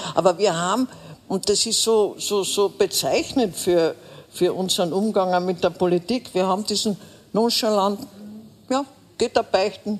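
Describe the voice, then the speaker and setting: With noticeable background noise behind her, a woman speaks at a medium pitch and a moderate pace, with ordinary pitch variation and long, frequent pauses. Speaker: veteran political journalist. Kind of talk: live panel discussion.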